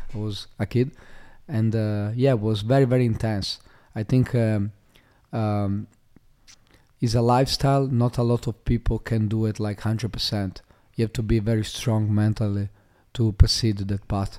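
In an Italian accent, a man speaks with a dark, mellow tone, monotone, flat intonation and long, frequent pauses on a very clean recording with a silent background. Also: medium pitch for a man, moderate pace. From Italy, Monfalcone near Venice. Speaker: fighter and MMA coach. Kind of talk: casual interview. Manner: halting, many fillers.

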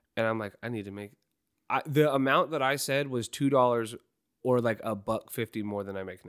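With a normal speaking voice, a man talks at a fairly quick pace, showing ordinary pitch variation and big swings in loudness. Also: medium pitch for a man, very clean recording, silent background. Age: 20s. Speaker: podcast co-host and telephone line worker. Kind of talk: casual chat.

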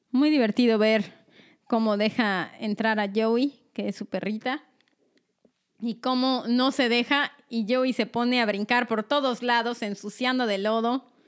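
Her fairly high pitch and fairly even intonation mark a woman using a normal speaking voice. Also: fairly slow pace, very clean recording, silent background. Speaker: podcast co-host. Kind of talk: casual chat.

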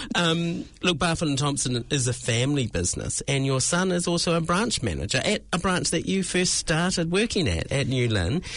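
Speaking in a New Zealand accent, a man uses a fairly high pitch, lively intonation, a moderate pace and very even loudness. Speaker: podcast host. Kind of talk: casual interview chat. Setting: studio.

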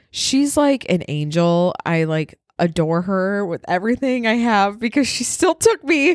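At a fairly slow pace and medium pitch, a woman with a slight northern Midwest US accent talks with hardly any pauses. Her pitch swings very widely in a very clean recording with a silent background. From Wisconsin. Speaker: podcast co-host. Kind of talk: casual chat.

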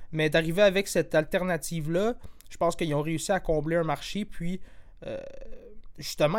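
A high-pitched man with fairly even intonation, big swings in loudness, and long, frequent pauses. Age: 20s. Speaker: podcast host. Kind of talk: casual chat.

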